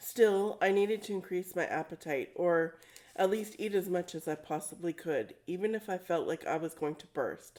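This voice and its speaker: In a raspy, put-on character voice, the speaker goes at a moderate pace with ordinary pitch variation. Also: woman, medium pitch for a woman. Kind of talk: novel reading by author. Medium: read story.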